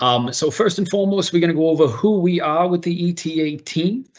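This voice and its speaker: A man talks with a Boston accent. His pace is fairly quick. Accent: Boston American. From US Northeast, Boston. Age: 30s. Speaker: workplace integration officer. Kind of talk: online presentation. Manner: animated.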